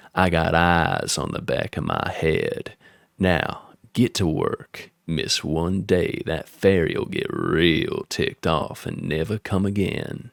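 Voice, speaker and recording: In a put-on character voice, a man drawls at a fairly slow pace with a croaky, very deep tone and a Southern US accent, the sound dry and close with no echo. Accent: Southern American drawl. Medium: read story. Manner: firm, bossy.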